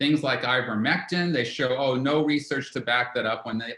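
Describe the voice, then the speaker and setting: At medium pitch and a moderate pace, a man speaks in a plain, everyday voice whose pitch varies in an ordinary way. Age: 60s. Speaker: herbalist and author. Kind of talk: interview.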